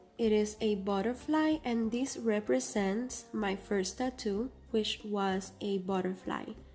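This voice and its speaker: A woman speaks at medium pitch with a non-native accent, very slowly, with hardly any pauses and lively intonation. Her loudness stays very even, and there is noticeable background noise. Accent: non-native English accent, noted by herself. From Cuba. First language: Spanish. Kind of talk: casual vlog talk to camera.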